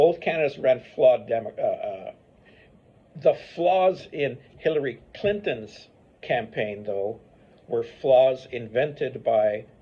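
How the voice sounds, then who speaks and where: A somewhat breathy man's voice, fairly high-pitched and very slow, with lively intonation. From Paraguay. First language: Spanish and English. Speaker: history professor. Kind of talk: interview answer.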